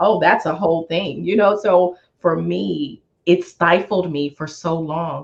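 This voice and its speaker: The voice carries vocal fry and an animated tone, with ordinary pitch variation and a fairly slow pace. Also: woman, fairly low pitch for a woman. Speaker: finance expert and money mentor. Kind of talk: interview.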